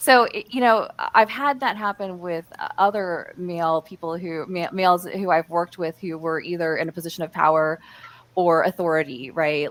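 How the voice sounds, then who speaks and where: A woman speaks with an American accent at a fairly quick pace. Her pitch is medium and her intonation is lively. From US Midwest. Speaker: panelist on workplace communication. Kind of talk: live panel discussion. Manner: halting, many fillers and restarts.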